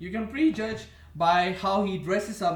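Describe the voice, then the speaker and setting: Audible room echo and noticeable background noise surround a man speaking with an Indian accent. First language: an Indian language. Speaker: vlogger. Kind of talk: casual monologue. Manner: halting.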